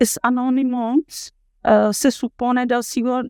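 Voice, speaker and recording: A woman with a Czech accent and fairly high pitch, her sound dry and close with no echo, over a quiet background. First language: Czech (speaking Spanish). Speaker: university professor. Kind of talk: lecture. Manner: halting, many filler sounds.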